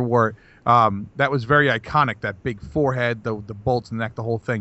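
A man with an ordinary speaking voice, medium pitch and ordinary pitch variation. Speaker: podcast co-host. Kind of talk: casual banter podcast chat.

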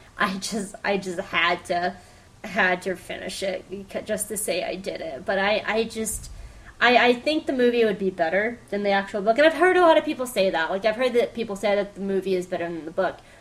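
A woman with a plain, everyday voice at medium pitch, lively intonation, and a fairly quick pace. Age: 20s. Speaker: podcast host. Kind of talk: solo pop-culture review.

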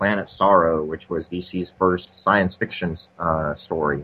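A man at a very slow pace. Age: 40s. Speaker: comics history podcaster. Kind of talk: casual chat. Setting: remote call.

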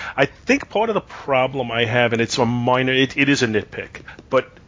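At a moderate pace, a man with a medium pitch talks in a normal speaking voice. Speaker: podcast host. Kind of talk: casual banter, TV episode discussion.

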